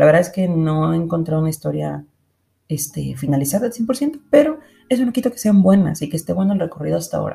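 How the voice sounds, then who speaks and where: This woman's tone is dark and mellow, somewhat breathy. She talks at a fairly quick pace. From Mexico, Monterrey. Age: 20s. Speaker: podcast host, illustrator. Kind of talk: casual monologue.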